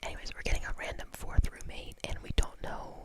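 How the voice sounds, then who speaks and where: Whispering at a fairly quick pace, a woman can be heard amid noticeable background noise. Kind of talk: ASMR whisper ramble. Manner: whispered.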